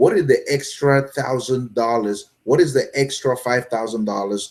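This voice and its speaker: A man uses a normal speaking voice at a medium pitch and a moderate pace. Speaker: online business coach. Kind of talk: live stream talk. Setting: live video stream with chat.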